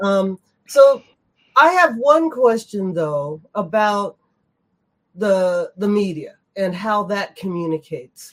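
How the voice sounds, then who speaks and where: A woman with an American accent at a very slow pace, with long, frequent pauses and very wide pitch swings. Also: medium pitch for a woman. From United States. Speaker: patron community member. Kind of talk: roundtable discussion. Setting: video call.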